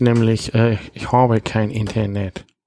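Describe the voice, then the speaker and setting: The man speaks at a medium pitch in a dark, mellow tone, with monotone, flat intonation. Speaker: podcast host. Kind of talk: casual chat. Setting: holiday rental in Husum. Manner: put-on northern German accent.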